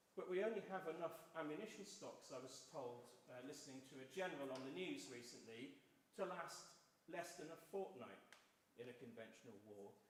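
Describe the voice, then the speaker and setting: Amid noticeable background noise and audible room echo, a man speaks at a fairly quick pace, his fairly high voice carrying lively intonation. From South Wales. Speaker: election candidate. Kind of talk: public debate. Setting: church hall hustings with audience.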